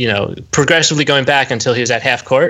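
Lively intonation marks this man's medium-pitched speech. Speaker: guest host of sports podcast. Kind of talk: casual chat. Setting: remote call recording.

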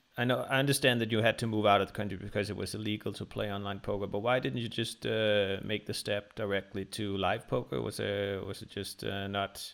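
With a Danish accent, a man talks at a fairly low pitch with vocal fry, ordinary pitch variation, a fairly quick pace and hardly any pauses. The recording is very clean, with a silent background. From Denmark. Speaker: podcast host. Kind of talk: interview.

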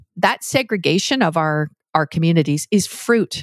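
With a Canadian accent, a woman talks in an unremarkable speaking voice, fairly low in pitch with ordinary variation, on a very clean recording with a silent background and a dry, close sound with no echo. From Canada. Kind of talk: interview conversation.

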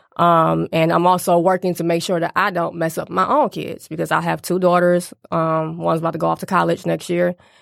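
A woman at a fairly quick pace with hardly any pauses, on a very clean recording over a silent background. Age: 30s. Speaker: author and business owner. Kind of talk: casual chat.

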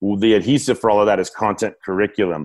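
Recorded very cleanly against a silent background, a man with a fairly low pitch talks at a fairly quick pace. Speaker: business coach. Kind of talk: interview conversation. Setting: home office. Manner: projecting voice; animated.

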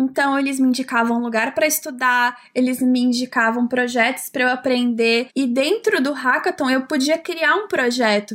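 In a very clean recording with a silent background, a woman speaks at a high pitch and a moderate pace, with ordinary pitch variation, very even loudness and hardly any pauses. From São Paulo, Brazil. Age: 20s. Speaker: software developer. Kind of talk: casual interview chat.

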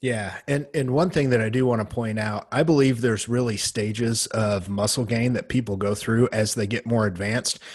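A man's normal speaking voice at a medium pitch and a moderate pace, with ordinary pitch variation. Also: hardly any pauses. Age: middle-aged. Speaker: bodybuilding podcast host. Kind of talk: casual chat.

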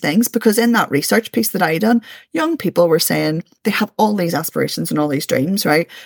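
A woman with a Belfast accent talks at a fairly quick pace with lively intonation. The recording is very clean with a silent background, and the sound is dry and close with no echo. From East Belfast, Northern Ireland. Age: 40s. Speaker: community activist and education centre founder. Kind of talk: podcast interview.

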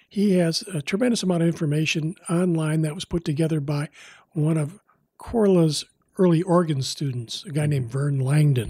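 A man with a fairly high pitch and a dark, mellow tone speaks at a moderate pace with ordinary pitch variation. The very clean recording has a silent background and a dry, close sound with no echo. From US Midwest. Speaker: documentary director and former TV news producer. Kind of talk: interview. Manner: halting, many fillers.

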